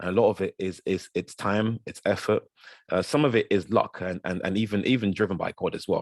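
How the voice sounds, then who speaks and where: In a Yoruba accent, a man speaks at a fairly low pitch with fairly even intonation, the sound dry and close with no echo. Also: fairly quick pace. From South London. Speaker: guest speaker. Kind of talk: talk to an audience. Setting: video call. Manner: halting, many repeated words; fast.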